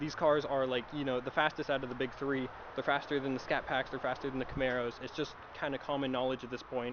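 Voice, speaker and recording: Here a man talks very fast. His pitch is medium. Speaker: car vlogger. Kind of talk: casual vlog talk. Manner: self-described stutter; casual, filler-heavy.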